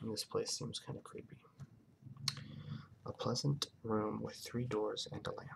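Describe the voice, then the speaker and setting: Soft-spoken, a man talks at a fairly slow pace with long, frequent pauses. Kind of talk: ASMR book reading.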